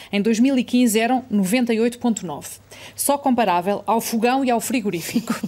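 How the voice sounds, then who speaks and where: Over noticeable background noise, a woman with a fairly high pitch talks at a very slow pace, with ordinary pitch variation and very even loudness. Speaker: interviewer. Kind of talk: interview with read-out quotes.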